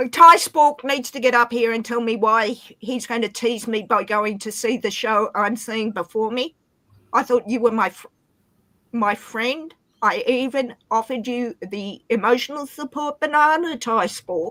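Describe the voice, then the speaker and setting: A woman with an Australian accent, fairly high in pitch, bright and sharp in tone, with ordinary pitch variation and a fairly slow pace. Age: 40s. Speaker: livestream guest. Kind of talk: casual chat. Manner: animated.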